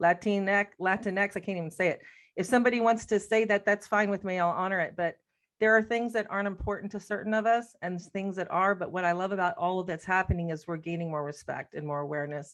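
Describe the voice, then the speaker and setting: A woman at a medium pitch, talking at a very fast pace with ordinary pitch variation over a quiet background. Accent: American. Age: 60s. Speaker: death doula teacher. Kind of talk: casual discussion.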